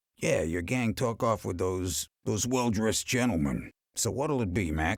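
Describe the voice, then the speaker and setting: Using a put-on character voice, a man talks at a moderate pace with lively intonation and very even loudness, on a very clean recording with a silent background. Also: fairly low pitch for a man. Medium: video game. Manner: sarcastic, gruff.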